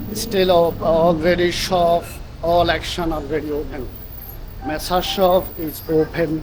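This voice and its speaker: Over noticeable background noise, someone with a non-native accent speaks at a fairly slow pace. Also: man, high pitch for a man. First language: not English. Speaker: travel vlogger. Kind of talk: casual vlog walk-through. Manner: animated.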